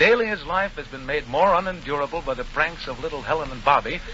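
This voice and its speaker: A man speaks at a fairly quick clip with a fairly high pitch and lively intonation. Noticeable background noise runs under his voice. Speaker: radio show host and announcer. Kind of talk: 1940s radio anthology show host narration.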